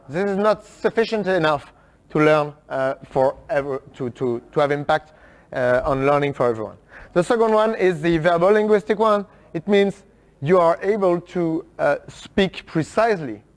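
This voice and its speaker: Speaking with a French accent, a man uses lively intonation at a high pitch and moderate pace. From France. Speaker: workshop speaker. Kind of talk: talk to an audience. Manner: halting, many fillers.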